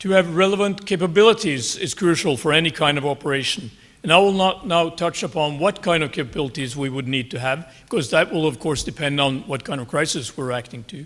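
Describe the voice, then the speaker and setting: A man with a Norwegian accent speaks at a fairly high pitch with lively intonation. His pace is fairly quick, with hardly any pauses. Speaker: army general. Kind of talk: conference talk. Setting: conference stage. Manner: formal.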